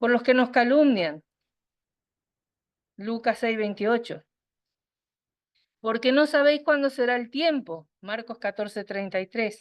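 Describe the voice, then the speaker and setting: A woman with a fairly high pitch and ordinary pitch variation speaks at a very slow pace. She leaves long, frequent pauses against a quiet background. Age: 60s. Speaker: women's meeting speaker. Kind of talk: sermon.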